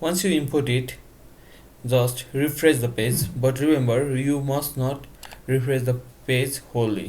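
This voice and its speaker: Somewhat breathy and with a non-native accent, a man talks at a medium pitch and a fairly slow pace, with fairly even intonation, long, frequent pauses and audible room echo. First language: not English. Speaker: tech tutorial youtuber. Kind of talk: tutorial. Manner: casual.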